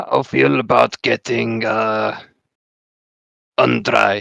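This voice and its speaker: Raspy put-on character voice at a very slow pace, with dry, close sound and no echo. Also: man. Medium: actual play. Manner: broken grammar, third person.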